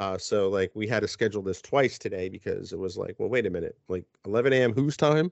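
A man with a New Jersey accent talks at a very fast pace, with hardly any pauses. His pitch is medium and its variation is ordinary. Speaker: podcast host. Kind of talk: casual chat.

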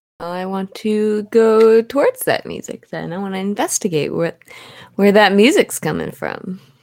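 A woman with medium pitch and ordinary pitch variation talks at a moderate pace in an unremarkable speaking voice. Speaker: player in the game. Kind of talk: casual chat, tabletop roleplaying game session.

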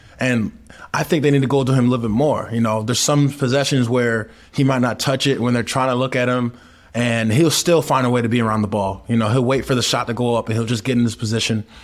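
Very fast in pace, a man with an American accent speaks at medium pitch with fairly even intonation. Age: 30s. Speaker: professional basketball player, podcast co-host. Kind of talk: casual sports chat.

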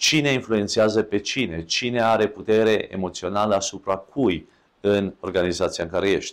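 In a very clean recording with a silent background, a man with a fairly low voice talks at a moderate pace, with ordinary pitch variation and very even loudness. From Romania. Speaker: podcast host. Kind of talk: solo talk. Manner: halting.

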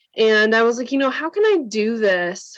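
An ordinary speaking voice with an American accent. The delivery is fairly slow, with fairly even intonation. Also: woman. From Wisconsin, US Upper Midwest. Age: 30s. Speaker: functional nutrition practitioner and coach. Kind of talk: interview conversation.

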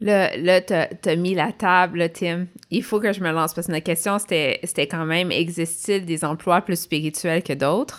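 A woman in a Quebec accent, fairly low in pitch, with fairly even intonation, a fairly slow pace and hardly any pauses, on a very clean recording with a silent background. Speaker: podcast co-host, former nurse. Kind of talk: casual chat.

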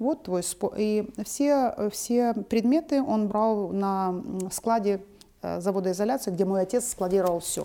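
At a very slow pace, a woman speaks with a medium pitch, a dark, mellow tone and ordinary pitch variation. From Donbas, eastern Ukraine. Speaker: founder of a cultural foundation. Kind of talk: interview.

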